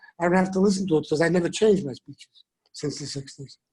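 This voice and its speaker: Talking at a very fast pace, a man speaks in a Bronx accent with a dark, mellow tone. His pitch varies in an ordinary way. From New York City (the Bronx). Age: 70s. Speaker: rabbi. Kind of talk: speech. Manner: animated.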